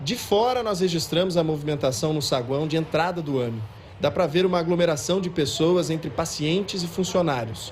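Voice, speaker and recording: This man's pitch sits fairly high and his intonation is lively. He keeps a moderate pace, with audible room echo. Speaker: TV news reporter. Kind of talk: field news report. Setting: outdoors at a clinic queue.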